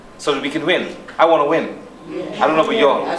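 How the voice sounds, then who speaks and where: The pace is moderate. Noticeable background noise and audible room echo are present. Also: man. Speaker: politician. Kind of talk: political speech. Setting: hall with audience and microphone.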